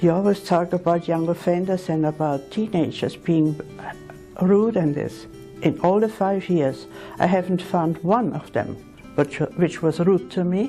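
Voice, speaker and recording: Over background music, a woman talks at a fairly slow pace in a fairly low pitch with ordinary pitch variation. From Austria. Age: 80s+. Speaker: retired nurse. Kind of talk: interview answer.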